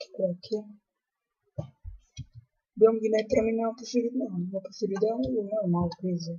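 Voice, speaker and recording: Long pauses come often, though the talking between them keeps a moderate pace. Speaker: gamer. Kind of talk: casual gameplay commentary. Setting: laptop microphone.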